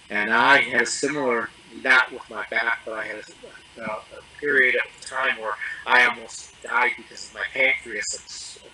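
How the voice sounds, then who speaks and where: A man's voice with big swings in loudness, over noticeable background noise. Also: moderate pace. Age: 60s. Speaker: coaching client giving testimonial. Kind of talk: interview testimony. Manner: halting, many fillers and restarts.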